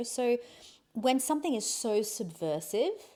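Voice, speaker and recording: The speaker has an Australian accent. The pace is fairly slow. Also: woman. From Australia, Adelaide. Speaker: podcast guest, host's wife. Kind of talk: casual conversation. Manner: halting, with many restarts.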